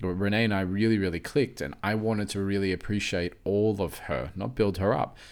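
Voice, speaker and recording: On a very clean recording with a silent background, a man with an Australian accent speaks at a fairly quick pace in a fairly low pitch, with hardly any pauses. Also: ordinary pitch variation. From Australia, born in Mauritius, moved at four. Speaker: behavioral coach and podcast host. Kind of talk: casual chat.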